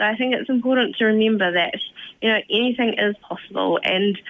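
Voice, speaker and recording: Speaking with a New Zealand accent, a woman keeps her intonation fairly even. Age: young. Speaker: community volunteer. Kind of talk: radio interview.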